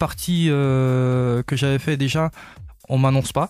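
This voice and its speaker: With music in the background, a man of medium pitch speaks at a very slow pace with fairly even intonation. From eastern France, Vosges. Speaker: singer. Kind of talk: radio interview. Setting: radio studio. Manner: hesitant, many fillers.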